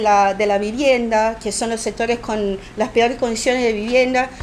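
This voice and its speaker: A woman's high-pitched voice with a Brazilian accent. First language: Portuguese (speaking Spanish). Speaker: political activist and book editor. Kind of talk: talk interview. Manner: halting, many fillers.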